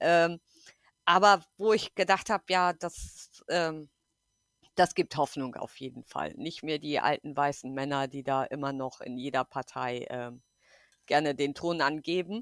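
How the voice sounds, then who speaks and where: A woman speaks with a very deep, low pitch and big swings in loudness. The recording is very clean, with a silent background and a dry, close sound with no echo. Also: ordinary pitch variation, fairly slow pace. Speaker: podcast guest. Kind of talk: casual political chat. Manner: hesitant, many fillers.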